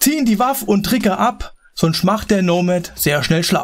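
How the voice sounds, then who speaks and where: A man is talking. The pitch variation is ordinary. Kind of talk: comic carnival speech in rhyme. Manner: playful, rhythmic rhymed delivery.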